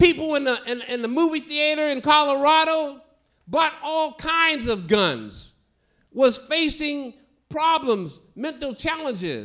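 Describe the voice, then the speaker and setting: This man's voice is extremely high, raised and projected, with a bright, sharp tone. He talks at a very slow pace with ordinary pitch variation against a quiet background. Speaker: minister, keynote speaker. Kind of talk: keynote speech. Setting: stage with audience. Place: stage. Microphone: podium.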